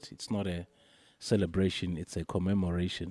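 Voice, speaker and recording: In a very clean recording with a silent background and a dry, close sound with no echo, a man speaks with a very deep, low pitch and a dark, mellow tone. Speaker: radio host. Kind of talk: live radio interview. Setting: live outdoor broadcast at a commemoration event.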